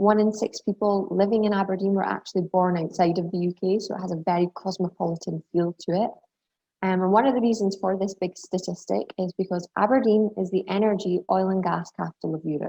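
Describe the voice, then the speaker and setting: A woman with a Scottish accent, fairly quick pace and fairly even intonation. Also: medium pitch for a woman. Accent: Scottish, slightly refined. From southern Scotland. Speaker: university international recruitment representative. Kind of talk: webinar presentation. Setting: video call.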